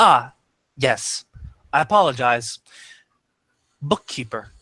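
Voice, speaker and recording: A man puts on a robotic character voice at medium pitch, speaking at a fairly slow pace with lively intonation. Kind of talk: formal, apologetic.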